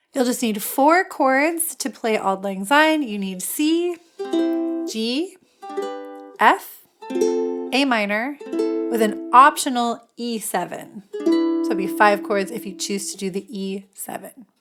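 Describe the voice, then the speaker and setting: Very slowly, a fairly high-pitched woman speaks with very wide pitch swings and big swings in loudness. Music plays in the background. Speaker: music teacher. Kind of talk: ukulele tutorial talk to camera.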